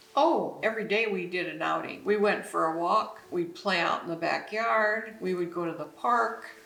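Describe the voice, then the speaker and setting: At a moderate pace with hardly any pauses, a woman speaks at medium pitch with ordinary pitch variation. Noticeable background noise and audible room echo fill the recording. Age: 70s. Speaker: retired mother interviewed about parenting. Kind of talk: interview.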